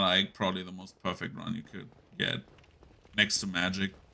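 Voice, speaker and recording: A man with a German accent talks fairly quickly in a bright, sharp tone. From Germany. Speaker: video game streamer. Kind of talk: live gameplay commentary. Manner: casual, filler-heavy.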